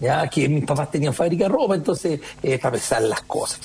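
A man speaks fairly quickly, his intonation lively, with noticeable background noise around him. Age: 50s. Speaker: entrepreneur. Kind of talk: radio interview.

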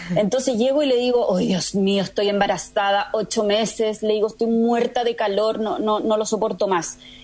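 Speaking at a moderate pace with hardly any pauses, a woman uses an unremarkable speaking voice at a fairly high pitch, ordinary pitch variation and very even loudness. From Chile, moved to Spain at 18. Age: 40s. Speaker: entrepreneur, founder of eco-construction company. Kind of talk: radio interview.

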